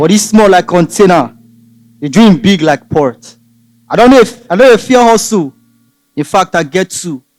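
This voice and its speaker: A man with a Nigerian accent, high-pitched, with lively intonation, a moderate pace and long, frequent pauses, in a dry, close recording with no echo. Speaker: spoken word poet. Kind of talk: spoken word poetry performance.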